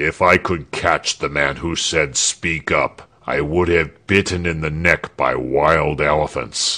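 A man puts on a character voice with a very deep, low pitch and speaks at a fairly slow pace. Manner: louder.

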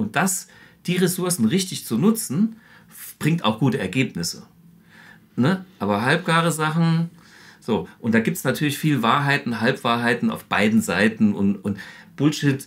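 His pitch swings very widely and sits fairly high. This man leaves long, frequent pauses. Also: moderate pace. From Saarland, Germany. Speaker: guitarist and amp designer. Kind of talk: product demonstration. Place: studio.

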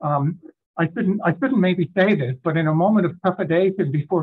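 A high-pitched man at a fairly quick pace against a quiet background. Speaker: presenter. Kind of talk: lecture. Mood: light, self-deprecating humor. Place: home room. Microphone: video call.

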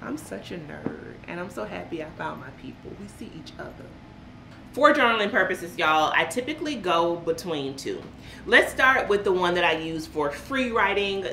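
With an American accent, a woman speaks at a moderate pace in a fairly low voice, her tone animated, her pitch swinging very widely and her loudness rising and falling sharply, with audible room echo and light background noise. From US South (central Florida). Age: 40s. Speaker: lifestyle vlogger. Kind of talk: casual vlog chat. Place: home room.

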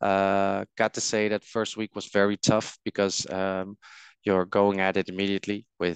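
A man's low-pitched voice, clear and smooth in tone, with monotone, flat intonation at a moderate pace, in a dry, close sound with no echo

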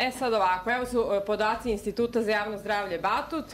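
A woman speaks at a very fast pace over light background noise. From Serbia. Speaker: psychiatrist and anti-mandatory-vaccination activist; conference lecturer. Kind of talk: conference lecture. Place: hall. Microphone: podium.

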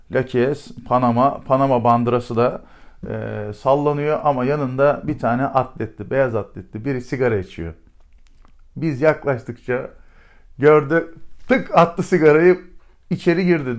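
Against a quiet background, a man speaks at a fairly slow pace. His pitch is fairly high, with ordinary pitch variation. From Turkey. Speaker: retired special forces commander. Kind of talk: storytelling interview. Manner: animated; hesitant fillers. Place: office.

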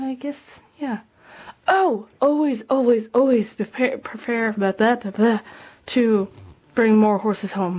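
Against a quiet background, a woman speaks at a fairly slow pace, her fairly high voice somewhat breathy and her intonation lively. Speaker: model horse hobbyist vlogger. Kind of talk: casual tutorial vlog. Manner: rambling, filler-heavy. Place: home room. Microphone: phone near.

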